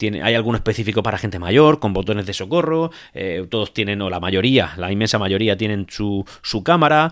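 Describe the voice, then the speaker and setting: With hardly any pauses, a man talks at a fairly quick pace in a fairly low pitch, his intonation lively. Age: 30s. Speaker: tech podcaster. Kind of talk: solo podcast monologue. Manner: hesitant, many repetitions and fillers.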